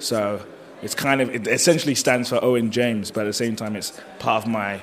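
Fairly quick, medium-pitched male speech against noticeable background noise. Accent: British. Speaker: professional wrestler. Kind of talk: casual interview.

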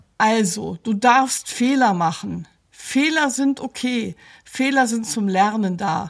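Her pace is very slow. This woman uses lively intonation. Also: fairly high pitch for a woman. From grew up partly in Belgium (Brussels), German. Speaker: psychologist and coach. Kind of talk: scripted advice talk.

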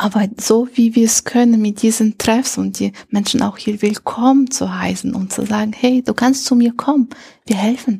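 A woman with a non-native accent speaks at a moderate pace in a fairly high pitch, her intonation fairly even. Her voice is somewhat breathy, with a dark, mellow tone. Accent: foreign accent in German. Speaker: integration coordinator at a refugee meeting centre. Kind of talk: interview. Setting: meeting centre room.

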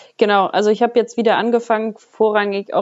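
Her intonation monotone and flat, a woman talks at a fairly quick pace. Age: 20s. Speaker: bodybuilder. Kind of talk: casual interview.

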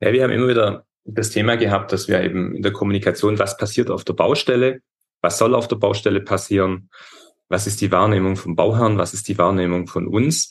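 Here is a plain, everyday voice at a fairly quick pace. The intonation stays fairly even. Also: man, fairly low pitch for a man. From Upper Swabia, southern Germany. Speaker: metal and glass construction business owner. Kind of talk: interview.

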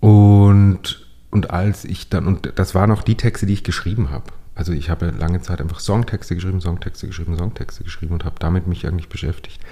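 Very fast and very deep, a man's voice with very low pitch rushes along. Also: ordinary pitch variation. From Upper Austria, Steyr. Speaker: playwright. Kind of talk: casual interview conversation. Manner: halting, many fillers and restarts.

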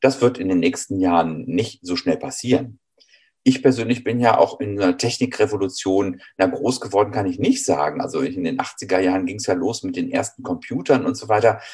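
A man's normal speaking voice, fairly low in pitch, with ordinary pitch variation at a moderate pace. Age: 50s. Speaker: train driver, former eye doctor. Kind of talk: interview.

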